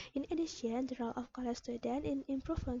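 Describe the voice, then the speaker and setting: With an Indonesian accent, a woman talks at a fairly quick pace. Her high voice shows ordinary pitch variation. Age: 20s. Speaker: pharmacy student. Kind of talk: self-introduction application video.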